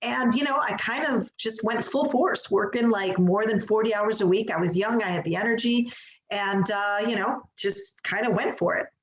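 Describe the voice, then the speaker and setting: Here is a woman with a Chicago accent. Her pitch is fairly high. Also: ordinary pitch variation, moderate pace. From Chicago, US Midwest. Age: 40s. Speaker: executive coach. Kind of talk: interview.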